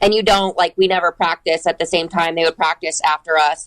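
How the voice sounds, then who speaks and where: With a Michigan accent, a woman speaks in a dry, close sound with no echo. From Michigan, Ann Arbor. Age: 30s. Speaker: CrossFit athlete. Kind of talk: casual interview.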